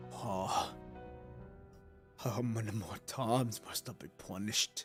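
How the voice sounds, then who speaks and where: Over clear music in the background, a man does a loud, put-on character voice at medium pitch, speaking at a fairly slow pace with fairly even intonation. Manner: loud, angry, theatrical.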